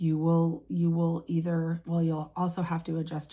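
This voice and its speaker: A woman speaks at a moderate pace in a fairly low pitch. Her tone is dark and mellow, and somewhat breathy. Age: 50s. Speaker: vlogger. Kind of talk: casual vlog talk. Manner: halting.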